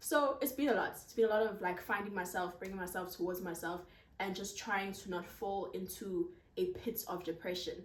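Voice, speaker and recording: A woman talks loudly at a fairly quick pace, her medium pitch showing ordinary variation. Audible room echo surrounds her voice. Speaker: content creator. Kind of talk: casual Q&A vlog. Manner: projecting voice loudly.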